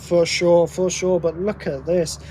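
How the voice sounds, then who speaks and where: Against noticeable background noise, a man with a British accent speaks at a high pitch. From Britain. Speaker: motorsport commentator. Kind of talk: live commentary. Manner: animated.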